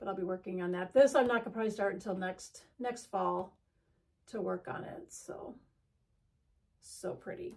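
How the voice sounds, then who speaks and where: A woman's medium-pitched voice with vocal fry, ordinary pitch variation, a moderate pace, big swings in loudness and long, frequent pauses. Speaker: cross-stitch video creator. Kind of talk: casual haul show-and-tell. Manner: halting, many fillers.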